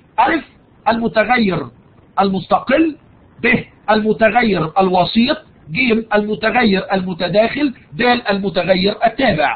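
A man's high voice at a very slow pace, with lively intonation and an Egyptian accent. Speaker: university lecturer. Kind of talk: online lecture. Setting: live online session. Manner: raises voice for emphasis.

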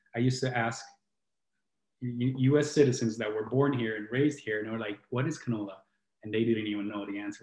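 Fairly quick, fairly even-toned speech from a man, with audible room echo. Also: quiet background. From southern Italy, Puglia (Brindisi); Puglia, Italy. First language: Italian. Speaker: healing coach and musician, co-host; healing coach, co-host. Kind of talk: casual chat. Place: home room.

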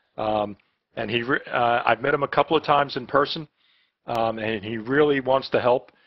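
A man has an ordinary speaking voice at a medium pitch. His intonation is fairly even and his pace moderate. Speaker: professor. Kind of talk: class moderation. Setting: video call.

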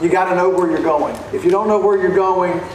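There is light background noise and audible room echo. A man talks with ordinary pitch variation. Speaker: conference speaker. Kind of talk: lecture. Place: stage. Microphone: podium.

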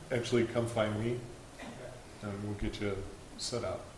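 Noticeable noise sits in the background. The delivery is moderately paced. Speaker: city administrator. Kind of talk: council meeting discussion. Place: hall. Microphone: podium.

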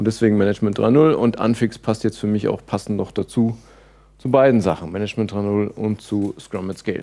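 Dark and mellow in tone, a man's fairly low voice moves at a fairly quick pace with fairly even intonation. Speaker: conference speaker and agile trainer. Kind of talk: conference talk. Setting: stage with audience. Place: hall.

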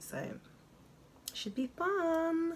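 With light background noise, a woman speaks in a London accent. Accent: southern English, London. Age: 40s. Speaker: beauty vlogger. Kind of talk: casual chat. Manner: chatty, rambling. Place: home room. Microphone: phone near.

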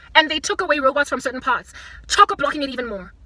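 A woman's raised, projected voice in an animated tone, at a very fast pace, with a dry sound with no echo. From South Africa. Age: 30s. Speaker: vlogger. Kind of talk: casual vlog rant. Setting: in a car. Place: car. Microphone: phone near.

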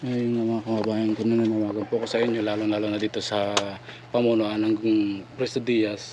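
A man's fairly low voice at a fairly quick pace, with monotone, flat intonation amid noticeable background noise. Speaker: vlogger. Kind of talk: walking vlog with appeal for help.

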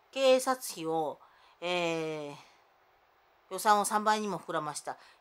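A woman at medium pitch, fairly slow, with lively intonation. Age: 50s. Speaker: vlogger; self-filming vlogger with grievances. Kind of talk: personal monologue vlog. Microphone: phone near.

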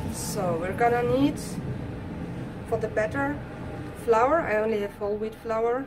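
A woman's moderately paced speech over clear background music. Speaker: cooking channel host. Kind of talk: casual cooking tutorial. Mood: cheerful, chatty. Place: kitchen.

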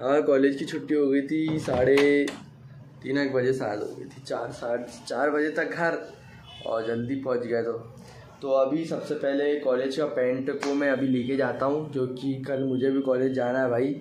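A man's medium-pitched voice, slightly mellow in tone, at a moderate pace with little pitch movement and audible room echo.

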